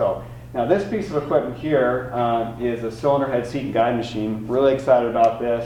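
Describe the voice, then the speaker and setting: The speaker talks at a fairly quick pace with fairly even intonation. Audible room echo is present. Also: man. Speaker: college automotive instructor. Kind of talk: presentation. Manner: many filler words.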